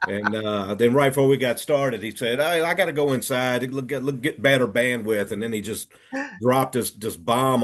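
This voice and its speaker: A plain, everyday voice from a man at medium pitch with ordinary pitch variation. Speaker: hunting podcast host. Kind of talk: podcast interview host. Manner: casual, friendly.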